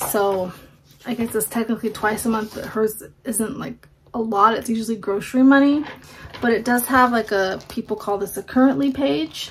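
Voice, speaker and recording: In a plain, everyday voice, a woman speaks at a fairly high pitch over light background noise. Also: ordinary pitch variation, moderate pace. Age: 40s. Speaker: homemaking vlogger. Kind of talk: casual vlog talk. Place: home room. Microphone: phone near.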